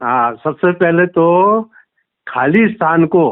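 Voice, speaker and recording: Pitched fairly high, a man talks in a normal speaking voice with lively intonation. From Rajasthan, India (Ajmer district). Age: 60s. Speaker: caller, businessman and spiritual seeker. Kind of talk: phone call testimony to spiritual teacher.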